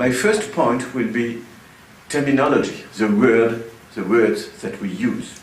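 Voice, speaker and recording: A man with a French accent speaks at medium pitch with ordinary pitch variation, amid audible room echo and noticeable background noise. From France. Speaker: sociology professor. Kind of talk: lecture. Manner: hesitant, with many uh fillers.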